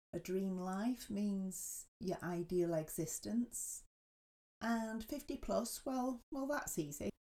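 Very slowly and with lively intonation, a woman with an English accent speaks at a medium pitch in a dark, mellow tone. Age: 50s. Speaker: podcast host. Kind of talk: casual chat.

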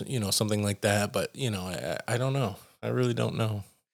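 On a very clean recording with a silent background, a man has an unremarkable speaking voice, a fairly low pitch and ordinary pitch variation. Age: 30s. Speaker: electronic music artist. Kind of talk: casual interview.

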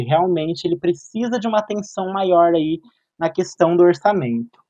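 Lively intonation from a man at a high pitch and a fairly quick pace. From Cambé, Paraná, Brazil. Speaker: reporter, journalism student. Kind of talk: casual discussion.

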